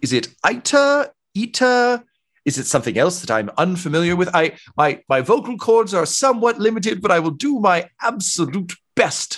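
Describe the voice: With a put-on character voice, a man talks at a moderate pace in a high pitch, using a fairly bright tone and big pitch swings.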